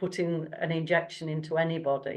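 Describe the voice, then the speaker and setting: This woman has a plain, everyday voice at a fairly low pitch. She talks at a fairly slow pace against a quiet background. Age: 60s. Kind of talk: casual chat.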